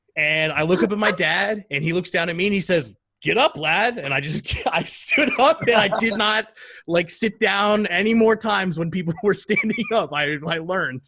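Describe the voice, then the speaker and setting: An animated man at a high pitch, voice raised and projected, with lively intonation at a moderate pace. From United States, moved to England as a child. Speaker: football fan podcast guest. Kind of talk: casual chat.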